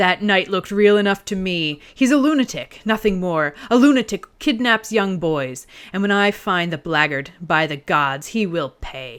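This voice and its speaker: A woman's growling, furious put-on character voice at medium pitch, with very wide pitch swings and a moderate pace. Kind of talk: archaic, formal. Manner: snarling through gritted teeth, furious.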